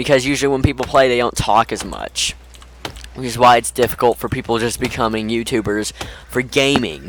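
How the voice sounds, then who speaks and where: Speaking fairly quickly over noticeable background noise, a man keeps a medium pitch and fairly even intonation. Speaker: gaming youtuber. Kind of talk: gameplay commentary. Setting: voice chat on Discord. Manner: halting.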